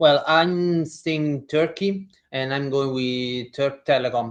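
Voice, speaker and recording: A man talks with an Italian accent at a medium pitch. His pace is very slow, and his intonation stays fairly even. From Italy. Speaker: basketball reporter. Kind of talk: casual podcast discussion. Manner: some hesitations.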